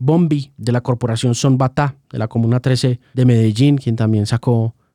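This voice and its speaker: In a dry, close sound with no echo, a man speaks at medium pitch in a dark, mellow tone. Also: very even loudness, very clean recording, silent background. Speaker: music journalist and interviewer. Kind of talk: podcast interview.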